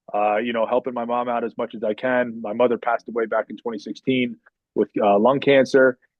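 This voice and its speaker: With a New Jersey accent, a man talks in a monotone with flat intonation. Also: medium pitch for a man, fairly quick pace. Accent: New Jersey American. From northern New Jersey, US. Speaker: podcast guest. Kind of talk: casual interview chat. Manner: halting, many fillers.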